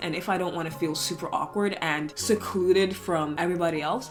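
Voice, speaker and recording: A woman talks rather quickly. Music can be heard behind her. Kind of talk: casual talk to camera. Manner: chatty, candid.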